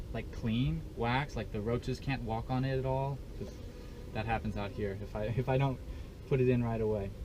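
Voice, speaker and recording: Audible room echo surrounds a dark, mellow tone delivered at a moderate pace with fairly even intonation. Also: man, medium pitch for a man. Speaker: beekeeper. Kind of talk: tutorial.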